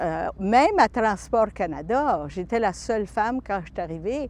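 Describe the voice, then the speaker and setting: Her pitch is medium for a woman. She speaks at a fairly slow pace. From northern Alberta, Franco-Albertan. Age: 60s. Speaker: retired pilot and aviation inspector. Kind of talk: interview testimony. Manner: hesitant, many fillers.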